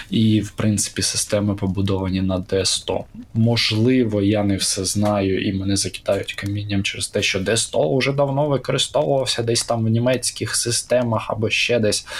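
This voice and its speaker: A man's fairly low-pitched, fairly even voice moves at a moderate pace against noticeable background noise. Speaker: tabletop RPG podcaster. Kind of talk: casual chat.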